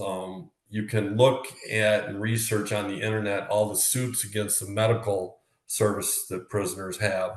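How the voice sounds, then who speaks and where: In an American accent, a man with a somewhat breathy, fairly low voice speaks at a fairly slow pace with fairly even intonation, amid audible room echo. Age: 60s. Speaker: former prisoner. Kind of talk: interview. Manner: hesitant, many fillers.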